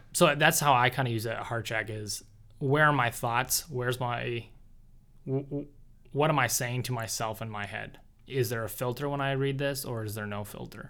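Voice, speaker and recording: Male speech in a plain, everyday voice, medium in pitch, fairly even in intonation, at a moderate pace. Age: 20s. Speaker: podcast co-host, engineer. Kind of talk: casual chat. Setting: studio.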